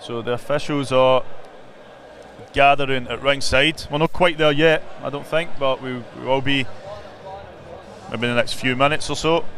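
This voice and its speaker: With noticeable background noise behind him, a man with a fairly high pitch speaks in fairly even intonation, leaving long, frequent pauses. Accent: Glaswegian. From Glasgow, Scotland (Drumchapel). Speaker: boxing live stream presenter. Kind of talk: live broadcast presenting. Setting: ringside at boxing event. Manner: fast.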